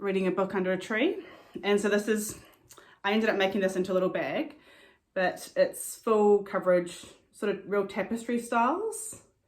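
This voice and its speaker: Here a woman speaks at a medium pitch with a New Zealand accent. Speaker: cross-stitcher. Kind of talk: casual talk to camera. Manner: fast, with many fillers.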